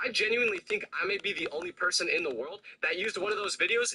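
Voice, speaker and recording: Talking at a very fast pace in an animated tone, the voice comes through dry and close with no echo, over noticeable background noise. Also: man. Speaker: content creator. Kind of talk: storytelling.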